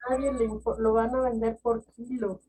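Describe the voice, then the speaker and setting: A woman is speaking. She has a Mexican accent. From Mexico. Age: 60s. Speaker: poet and novelist. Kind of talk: interview conversation. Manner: hesitant, with many fillers and restarts.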